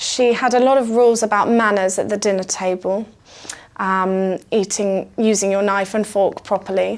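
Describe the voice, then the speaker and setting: In a British accent, a woman speaks at a moderate pace and medium pitch, with monotone, flat intonation and very even loudness. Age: 20s. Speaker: music student. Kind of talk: interview answer.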